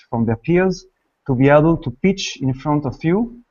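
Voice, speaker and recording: Speaking with a French accent, a man uses lively intonation at a moderate pace and a fairly high pitch. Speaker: online course organizer. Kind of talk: event introduction. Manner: hesitant, many fillers.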